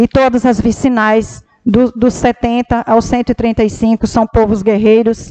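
Dry and close with no echo, a woman's fairly high-pitched voice stays monotone and flat. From Brazil, Pará (Medicilândia). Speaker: city councillor, first secretary. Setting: council chamber.

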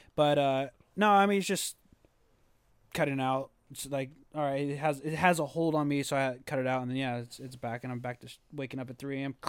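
In an unremarkable speaking voice, a man with an American accent and a fairly high pitch talks at a fairly quick pace with fairly even intonation and big swings in loudness, on a very clean recording with a silent background. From California. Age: 20s. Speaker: podcast host. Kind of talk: casual chat.

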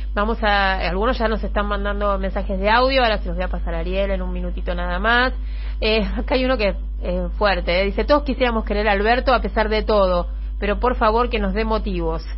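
A woman talks at a fairly quick pace. There is audible room echo and noticeable background noise. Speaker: radio host. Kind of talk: radio interview.

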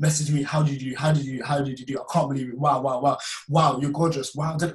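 A man's somewhat breathy, fairly high voice with a West Midlands accent and ordinary pitch variation. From West Midlands, England (Wolverhampton). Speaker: filmmaker and personal trainer. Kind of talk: testimony.

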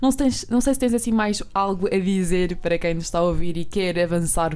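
With audible room echo, a woman in a dark, mellow tone talks at a fairly quick pace with ordinary pitch variation. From Portugal, Alentejo. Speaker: podcast co-host. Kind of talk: casual interview. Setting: studio.

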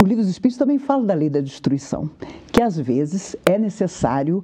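A woman's voice moves through very wide pitch swings over noticeable background noise. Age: 50s. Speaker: spiritist lecturer. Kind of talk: live studio interview on religion. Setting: TV studio.

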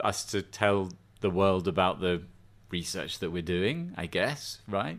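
On a very clean recording with a silent background, a man with an English accent speaks at a fairly slow pace in a very deep, low pitch with ordinary pitch variation. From England. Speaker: professor. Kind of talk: casual chat.

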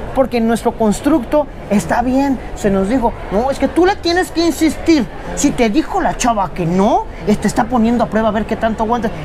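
A woman talks at a moderate pace in a fairly high voice with lively intonation and very even loudness. Noticeable background noise runs under her speech. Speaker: interviewer. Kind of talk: interview. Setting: book fair.

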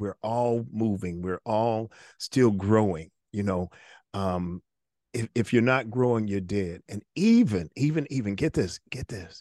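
A normal speaking voice from a man, fairly low in pitch and fairly slow, with ordinary pitch variation and a dry, close sound with no echo against a quiet background. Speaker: podcast host. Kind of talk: interview conversation. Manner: warm, repetitive, faith-oriented.

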